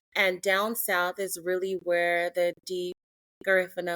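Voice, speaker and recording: In a very clean recording with a silent background and a dry, close sound free of echo, a woman with an American accent talks at a fairly slow pace in a fairly low pitch. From Belize (Dangriga), then Long Beach, California from age seven. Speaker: travel content creator. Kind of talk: interview.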